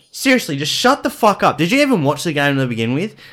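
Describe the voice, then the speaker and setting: This man speaks with an Australian accent and lively intonation. The recording is very clean, with a silent background. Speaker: podcast co-host. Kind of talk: rant; casual chat.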